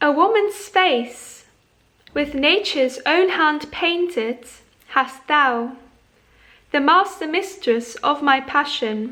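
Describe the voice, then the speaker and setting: A woman's raised, projected voice, high in pitch with a bright, sharp tone and lively intonation, at a very slow pace with very even loudness and long, frequent pauses. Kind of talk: poetry reading.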